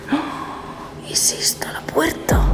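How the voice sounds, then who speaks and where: A woman whispers against noticeable background noise, her voice carrying an audible room echo. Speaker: travel vlogger. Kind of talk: on-location vlog. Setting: abandoned hotel corridor at night. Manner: whispering; soft-spoken.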